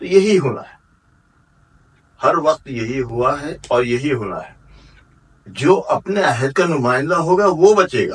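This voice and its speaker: A man's fairly high voice with lively intonation, big swings in loudness and long, frequent pauses. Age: 60s. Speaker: poet. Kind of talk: interview.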